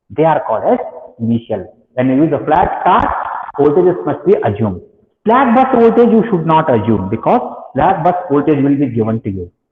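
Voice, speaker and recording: A man talks at a fairly quick pace with very wide pitch swings. Audible room echo surrounds his voice. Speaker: engineering lecturer. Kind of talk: lecture.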